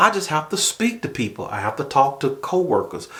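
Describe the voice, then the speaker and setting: The voice carries a strong Southern US accent. Its pitch swings very widely. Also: man. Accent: strong Southern drawl. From US South. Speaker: YouTuber, manager and assistant pastor. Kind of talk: casual vlog talk. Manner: conversational, with fillers.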